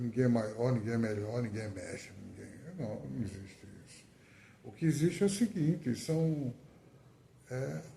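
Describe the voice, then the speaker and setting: A man speaks at medium pitch with a dark, mellow, somewhat breathy tone, his pitch swinging very widely and his loudness rising and falling sharply. His pace is fairly slow, broken by long, frequent pauses. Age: 60s. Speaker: poet. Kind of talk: testimony. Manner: halting.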